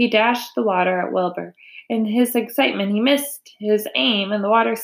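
Someone reads in an unforced reading voice.

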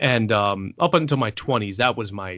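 In a New York accent, a man speaks at a fairly low pitch. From New York City, the Bronx. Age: 30s. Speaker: author and anthology editor. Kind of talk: casual interview.

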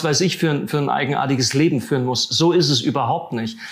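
Noticeable background noise fills the recording. Through it, a man talks at a fairly high pitch. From Siegerland, western Germany. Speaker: theologian. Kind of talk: interview.

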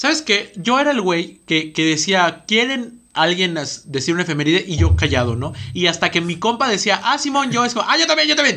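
A high-pitched man with a bright, sharp tone, very wide pitch swings and a moderate pace. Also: hardly any pauses. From Estado de México. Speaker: podcast co-host. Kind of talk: casual chat. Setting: studio.

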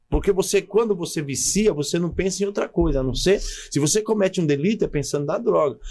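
A man speaks at a fairly quick pace in a high voice. His tone is dark and mellow. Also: ordinary pitch variation. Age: 40s. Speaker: pastor. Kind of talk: casual interview with personal testimony.

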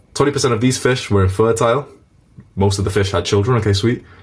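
His fairly low voice is somewhat breathy. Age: 20s. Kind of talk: live interactive online lesson. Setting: video call. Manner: casual, animated.

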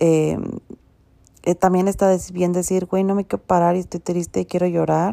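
A woman speaks with a Mexico City accent in a fairly low pitch and a dark, mellow tone. Her intonation is monotone and flat, and the sound is dry and close with no echo. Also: moderate pace. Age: 30s. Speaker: podcast host. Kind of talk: casual monologue.

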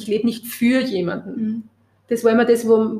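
A woman with a fairly high pitch talks at a very fast pace in a somewhat breathy voice. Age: 50s. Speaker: press photographer. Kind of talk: interview conversation.

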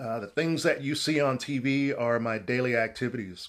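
An ordinary speaking voice from a man, medium in pitch with ordinary pitch variation, at a fairly slow pace over a quiet background. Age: 50s. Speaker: respiratory therapist. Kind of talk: interview.

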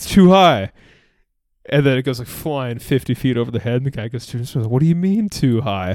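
Heard on a very clean recording with a silent background, a man with an ordinary speaking voice and medium pitch talks at a moderate pace with lively intonation. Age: 20s. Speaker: sports podcast co-host. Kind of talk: casual chat.

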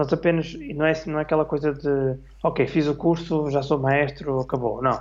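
At a moderate pace, a man with an ordinary speaking voice talks at fairly high pitch, keeping very even loudness and fairly even intonation. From northern Portugal, Minho. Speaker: orchestra conductor and clarinetist. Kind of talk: casual interview on livestream. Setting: online live stream.

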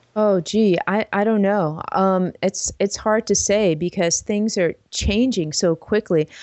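A woman with an American accent speaks at a very slow pace, with hardly any pauses, very even loudness and fairly even intonation. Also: medium pitch for a woman. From New York City (the Bronx). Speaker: animator and web series creator. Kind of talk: interview.

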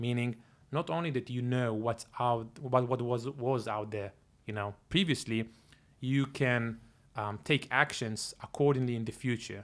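The delivery comes at a fairly slow pace with fairly even intonation. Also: man, medium pitch for a man. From Israel, Tel Aviv. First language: Hebrew. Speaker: tech company founder and CEO. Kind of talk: interview.

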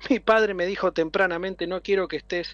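A man with a high pitch over music in the background. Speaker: city government official. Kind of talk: interview. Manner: halting, many fillers.

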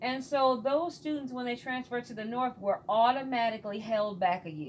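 Her voice carries an American accent. This woman sounds somewhat breathy. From US Midwest, Michigan. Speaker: teacher. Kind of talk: interview.

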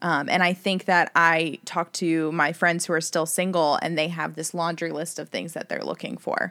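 The tone is bright and sharp from a woman with a fairly low pitch, vocal fry, and monotone, flat intonation. She keeps a moderate pace with hardly any pauses, on a very clean recording with a silent background. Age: 30s. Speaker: dating app user. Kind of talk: casual chat.

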